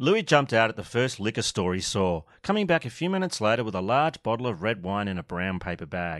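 This is a recording of someone reading aloud in a natural voice. The reading stays in that natural voice throughout.

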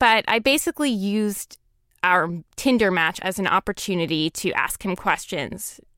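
A woman with a plain, everyday voice speaks at a fairly slow pace in a medium pitch. The recording is very clean with a silent background and a dry, close sound with no echo. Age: 20s. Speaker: writer. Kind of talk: interview. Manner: casual, filler-heavy speech.

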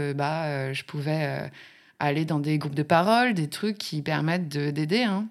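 Her pitch sits very deep and low for a woman. The recording is very clean, and the background is silent. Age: 30s. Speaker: drag king and drag school founder. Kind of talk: casual interview. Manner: hesitant with fillers.

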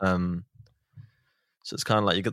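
A man's very deep, low voice in a Manchester accent, playful in tone yet monotone and flat, on a very clean recording with a silent background. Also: dry, close sound with no echo. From Manchester, England. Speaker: podcast host. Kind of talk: casual chat. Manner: joking, playful.

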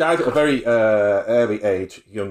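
A man speaks at a medium pitch with lively intonation. He has an unremarkable speaking voice. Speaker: podcast host. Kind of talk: casual chat.

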